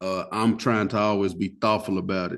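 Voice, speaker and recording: Fairly low-pitched and in a Southern US accent, a man talks at a fairly quick pace. His intonation stays fairly even over a quiet background. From US South. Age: 30s. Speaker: funeral family speaker. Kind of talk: podcast interview. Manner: casual, talkative.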